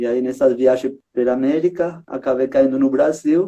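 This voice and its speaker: This man has a Uruguayan accent and a dark, mellow tone. His intonation is lively. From Uruguay, Montevideo. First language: Spanish (speaking Portuguese). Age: 30s. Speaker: street circus artist, juggler. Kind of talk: casual chat. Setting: live stream.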